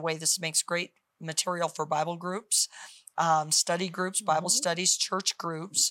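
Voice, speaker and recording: On a very clean recording with a silent background, a woman with a fairly low pitch talks at a moderate pace in a normal speaking voice, the sound dry and close with no echo. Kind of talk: faith talk show interview with prayer decrees.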